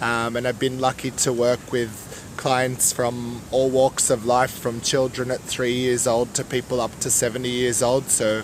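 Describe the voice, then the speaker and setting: Amid noticeable background noise, a man speaks at a fairly slow pace in a medium pitch with monotone, flat intonation. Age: 30s. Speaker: yoga teacher. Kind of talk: interview.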